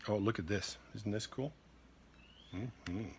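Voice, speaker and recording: A man is speaking. His voice is somewhat breathy. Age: 50s. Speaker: expat entrepreneur. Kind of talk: unboxing video. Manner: animated.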